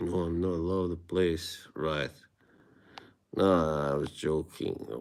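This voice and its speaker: In an Eastern European accent, the speaker goes at a very slow pace with fairly even intonation. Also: man, very deep, low pitch for a man. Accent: Eastern European (Slavic), moderate. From Bosnia. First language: Bosnian. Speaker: streamer. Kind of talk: casual live-stream chat with viewers. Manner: halting.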